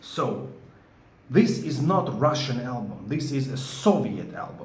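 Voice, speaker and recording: Amid noticeable background noise and audible room echo, a man with a Georgian accent speaks fairly slowly, with a fairly high pitch and lively intonation. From Georgia (country). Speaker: record collector vlogger. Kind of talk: opinion vlog. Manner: animated, emphatic.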